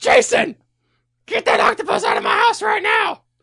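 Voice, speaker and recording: A put-on character voice shrieks in a furious tone, shrill and extremely high in pitch. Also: moderate pace. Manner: screeching, furious.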